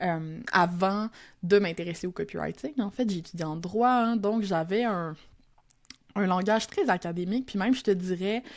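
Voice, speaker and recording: Over a silent background in a very clean recording, a woman speaks at medium pitch and a moderate pace, with ordinary pitch variation. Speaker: copywriter and teacher. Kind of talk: podcast interview. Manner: casual, Quebec colloquial.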